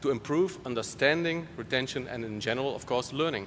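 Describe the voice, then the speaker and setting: A man talks with a Dutch accent. His pitch varies in an ordinary way. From Netherlands. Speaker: conference moderator. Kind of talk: speaker introduction.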